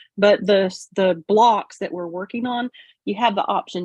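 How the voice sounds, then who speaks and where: A woman with a Southern US accent, moderate pace and ordinary pitch variation. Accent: country Southern US. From Florida, US South. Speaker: quilting youtuber, guest. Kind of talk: casual livestream chat.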